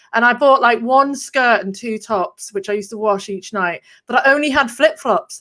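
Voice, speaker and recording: A woman with an English accent speaks at a moderate pace in a high pitch. Her tone is bright and sharp, and her pitch varies in an ordinary way. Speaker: copywriter and marketer. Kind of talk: casual interview chat.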